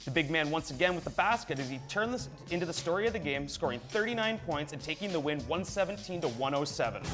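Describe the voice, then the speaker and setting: Over music in the background, a man speaks very fast at a high pitch. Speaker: sports anchor. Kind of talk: sports news broadcast read. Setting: studio.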